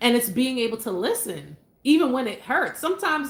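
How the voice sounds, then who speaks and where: With noticeable background noise around her, a woman speaks at a high pitch and a fairly quick pace. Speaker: married couple co-host of relationship livestream. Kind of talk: live stream chat. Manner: stutters often; casual, hesitant with fillers.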